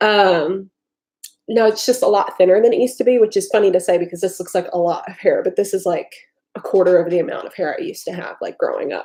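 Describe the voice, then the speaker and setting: Very fast speech from a woman with an American accent. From US South. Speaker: vlogger. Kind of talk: casual livestream chat. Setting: livestream.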